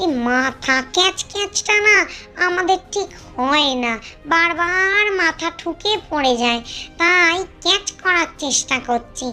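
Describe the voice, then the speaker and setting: A cartoonish character voice sits at an extremely high pitch and moves at a fairly slow pace. Clear background noise runs underneath. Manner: chatty, explanatory.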